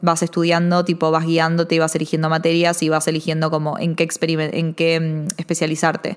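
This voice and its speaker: In a Rioplatense accent, a woman talks at a very fast pace with a fairly low voice. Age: 20s. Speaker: podcast host. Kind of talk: solo film and TV commentary.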